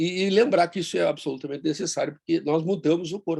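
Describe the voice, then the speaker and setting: His voice sits fairly high. The man keeps up a fairly quick pace. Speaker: bariatric surgeon. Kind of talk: online meeting talk. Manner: fast.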